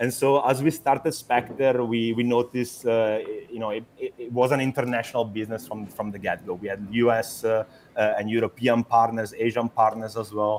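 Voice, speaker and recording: A man's medium-pitched voice in an Italian accent, fairly quick and with fairly even intonation. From Italy. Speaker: startup founder. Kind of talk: interview. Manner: halting, many fillers and repetitions.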